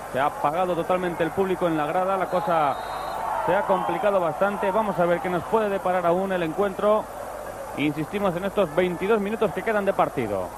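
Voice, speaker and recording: Over loud background noise, a man in a high pitch uses an excited tone with ordinary pitch variation, the sound dry with no echo. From Spain. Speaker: football commentator. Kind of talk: live sports commentary. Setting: stadium broadcast. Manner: rapid-fire, clipped play-by-play, breathless; excited at goals, otherwise steady.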